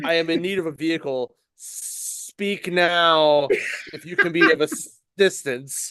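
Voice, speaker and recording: A put-on character voice with a middle pitch and hissing speaks at a fairly slow pace against a quiet background. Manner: theatrical, imperious.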